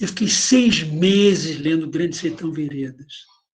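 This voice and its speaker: A man speaks at a fairly slow pace. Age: 80s+. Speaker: professor. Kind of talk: online panel discussion. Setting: video call.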